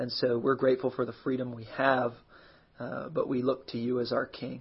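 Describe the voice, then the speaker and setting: A man's somewhat breathy voice. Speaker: pastor. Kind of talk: fervent intercessory prayer. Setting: live stream on social media. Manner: earnest, pleading, heartfelt; warm, casual, conversational.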